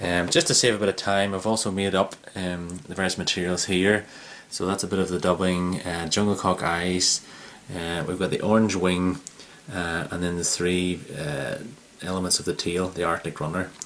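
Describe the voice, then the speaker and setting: A man's very deep, low voice with an Irish accent, monotone and flat, at a moderate pace over noticeable background noise. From Ireland. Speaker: fly tier. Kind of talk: tutorial. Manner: halting, many fillers.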